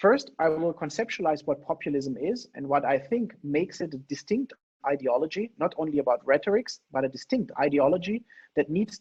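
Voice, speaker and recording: A man with a fairly high pitch and ordinary pitch variation, in a dry, close sound with no echo. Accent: non-native. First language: not English. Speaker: political theory lecturer. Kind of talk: lecture. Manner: fast.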